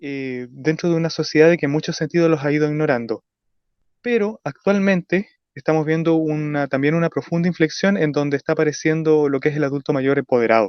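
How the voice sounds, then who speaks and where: The man's fairly high voice moves at a fairly quick pace, its pitch varying in an ordinary way. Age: young. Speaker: radio panelist. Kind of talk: radio discussion. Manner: halting, many fillers and self-corrections.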